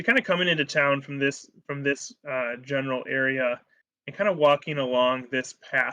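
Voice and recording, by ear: Someone is reading aloud in a natural voice with fairly even intonation, and the background is quiet.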